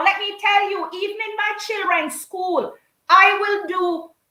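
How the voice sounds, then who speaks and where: With a Jamaican accent, a woman projects a raised voice with a bright, sharp tone at a fairly slow pace. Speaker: storyteller and performer. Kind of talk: interview answer. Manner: lively, expressive.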